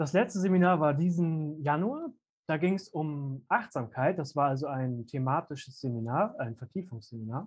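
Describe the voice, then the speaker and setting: Somewhat breathy, a man speaks at a moderate pace with a fairly high pitch and lively intonation. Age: 20s. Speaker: youth seminar team leader. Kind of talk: casual interview. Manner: hesitant with many fillers.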